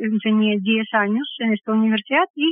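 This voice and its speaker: A woman with a fairly high voice speaks at a moderate pace, her intonation fairly even. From Belarus, Minsk. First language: Russian (speaking Spanish). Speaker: pianist and music theory teacher. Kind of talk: interview.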